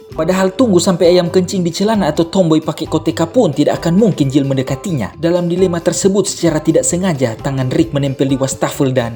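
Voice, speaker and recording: A man with a high pitch rattles along at a very fast pace with hardly any pauses, ordinary pitch variation and a playful tone, over noticeable background noise. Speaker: voice-over narrator. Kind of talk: comedic movie recap narration. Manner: playful, joking.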